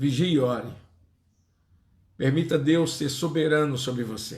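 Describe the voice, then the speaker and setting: A man talks in a fairly high, somewhat breathy voice with ordinary pitch variation. His pace is fairly slow, and the room echo is audible. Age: 60s. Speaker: pastor. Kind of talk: sermon.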